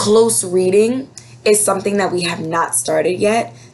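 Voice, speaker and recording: With music in the background, a woman speaks at a fairly slow pace with lively intonation. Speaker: elementary school teacher. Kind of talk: class update video for parents. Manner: casual, filler words.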